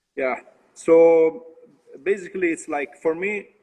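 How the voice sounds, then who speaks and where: A man talks with an Italian accent. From Tuscany, Italy. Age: young. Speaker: brewer. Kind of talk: interview. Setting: video call from brewery. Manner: halting.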